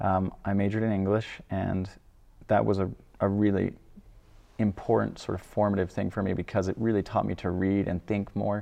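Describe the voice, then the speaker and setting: A man's fairly low, monotone, flat voice with an American accent, fairly quick pace, long and frequent pauses, and a quiet background. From Idaho. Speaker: philosophy doctoral student. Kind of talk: faith testimony interview.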